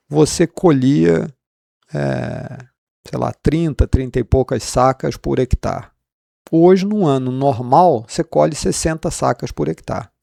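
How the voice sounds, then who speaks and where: A man's medium-pitched, dark, mellow voice with very wide pitch swings, at a fairly slow pace, in a dry, close sound with no echo. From Rio de Janeiro, Brazil. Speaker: economics professor. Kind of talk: interview. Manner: hesitant, repeats words.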